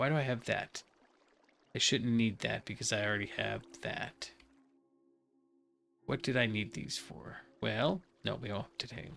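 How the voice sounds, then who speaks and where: Over music in the background, a mumbling put-on character voice goes at a moderate pace with long, frequent pauses. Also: man, medium pitch for a man. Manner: mumbling to self.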